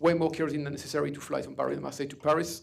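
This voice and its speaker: Audible room echo surrounds a man speaking with a French accent. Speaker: author and security expert. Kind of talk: lecture. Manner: fast.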